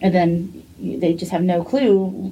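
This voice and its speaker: This woman talks with an American accent, her pitch fairly low for a woman and her voice showing vocal fry. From US. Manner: fast talker when excited.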